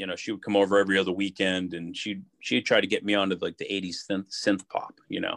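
A fairly low-pitched man with an Ohio accent at a very fast pace, dry and close with no echo, in a very clean recording with a silent background. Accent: Midwestern US (Ohio). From Youngstown, Ohio. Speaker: car salesman. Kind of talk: casual chat.

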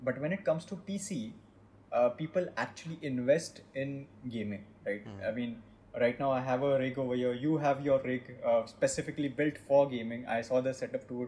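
A man with a Marathi accent speaks at medium pitch with ordinary pitch variation, at a moderate pace. His voice has a dark, mellow tone and is somewhat breathy. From India, Maharashtra. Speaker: game studio CEO. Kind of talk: interview in mixed Hindi and English.

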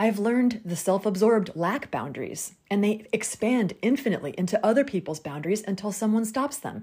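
A woman speaks in a dark, mellow tone with lively intonation. Her voice is somewhat breathy. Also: medium pitch for a woman, fairly quick pace. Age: 40s. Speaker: podcast host. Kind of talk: solo monologue podcast.

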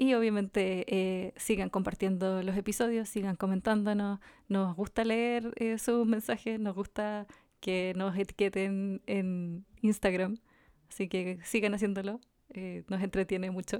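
Dark, mellow delivery with a Chilean accent, monotone and flat, fairly slow, in a very clean recording with a silent background. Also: woman, medium pitch for a woman. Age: 30s. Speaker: podcast co-host. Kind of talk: casual chat.

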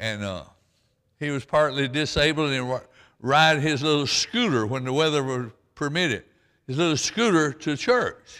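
With a Southern US accent, a man speaks at a moderate pace and fairly high pitch, using lively intonation and a bright, sharp tone on a very clean recording with a silent background. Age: 80s+. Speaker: pastor. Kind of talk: sermon. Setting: church with congregation. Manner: folksy, halting.

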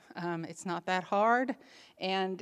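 On a very clean recording with a silent background, a woman has a plain, everyday voice at a medium pitch with ordinary pitch variation. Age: 60s. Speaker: women's ministry speaker. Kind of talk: conference talk.

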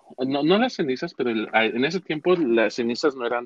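Spoken with a central Mexican accent, the voice shows ordinary pitch variation. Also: man. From Mexico, Cuautla, Morelos. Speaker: Mexican immigrant sharing his life story. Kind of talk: interview, personal storytelling. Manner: halting, many repetitions and fillers.

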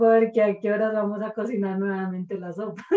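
A woman speaks at a fairly quick pace in a medium pitch. She has a plain, everyday voice. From Colombia, rural village of San Lorenzo. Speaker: podcast guest, mother of a co-host. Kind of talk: casual storytelling interview.

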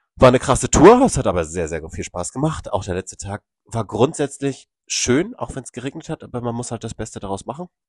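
Over a quiet background with a dry, close sound and no echo, a man at medium pitch talks at a fairly quick pace with hardly any pauses, very wide pitch swings, big swings in loudness and vocal fry. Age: 30s. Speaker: podcast co-host. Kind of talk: casual chat.

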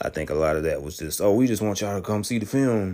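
The man's dark, mellow tone carries ordinary pitch variation. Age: 30s. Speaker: YouTube film reviewer. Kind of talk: solo spoiler review monologue. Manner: halting, many fillers and repetitions.

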